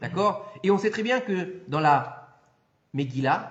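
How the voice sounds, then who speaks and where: The voice is loud and animated, with very wide pitch swings and audible room echo. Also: man. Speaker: rabbi giving a Torah class. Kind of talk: lecture. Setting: hall with live audience.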